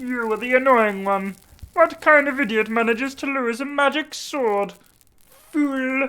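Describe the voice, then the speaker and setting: A female-sounding put-on character voice, high in pitch for a woman, at a moderate pace. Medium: read story. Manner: grandiose, scornful.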